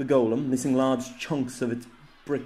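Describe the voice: The intonation here is fairly even. It is plain reading aloud.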